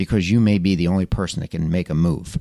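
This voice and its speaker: With an American accent, this man has an ordinary speaking voice, a fairly low pitch, ordinary pitch variation, and a dry, close sound with no echo against a quiet background. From Philadelphia area, Pennsylvania. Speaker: podcast host. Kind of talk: motivational monologue. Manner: casual with frequent fillers.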